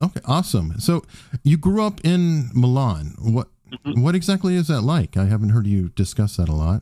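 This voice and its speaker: Male voice with an American accent, a dark, mellow tone and very wide pitch swings. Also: medium pitch for a man, moderate pace, very clean recording, silent background. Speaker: podcast host. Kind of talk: casual interview. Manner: excited.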